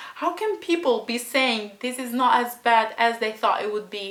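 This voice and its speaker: A woman with a non-native accent talks at a moderate pace in a fairly high, animated voice with lively intonation over noticeable background noise. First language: not English. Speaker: book reviewer vlogger. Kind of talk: emotional rant.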